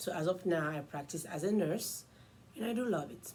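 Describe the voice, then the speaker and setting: This woman's voice has a dark, mellow tone and sounds somewhat breathy. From Ivory Coast. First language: French. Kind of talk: casual self-introduction vlog.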